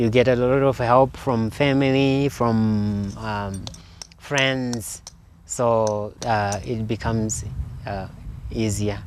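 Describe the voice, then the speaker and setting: A man talks very slowly at a medium pitch. Noticeable background noise runs underneath. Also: fairly even intonation. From Zimbabwe, rural Eastern Highlands. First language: Shona. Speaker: sculptor. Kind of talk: interview in his studio. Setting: artist's studio. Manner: halting, many fillers.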